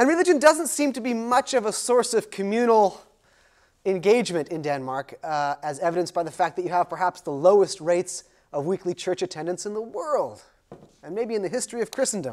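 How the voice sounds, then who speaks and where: Quiet background behind a man speaking at a fairly quick pace. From United States. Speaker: sociology professor. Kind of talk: lecture. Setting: lecture hall with audience. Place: classroom.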